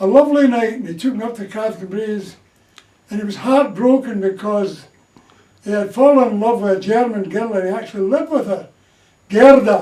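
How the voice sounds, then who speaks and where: A man with a Glaswegian accent speaks at a high pitch and a moderate pace. His pitch varies in an ordinary way, with audible room echo around him. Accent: Glaswegian Scottish. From Scotland, Glasgow. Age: 80s+. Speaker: war-era storyteller. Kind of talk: casual interview.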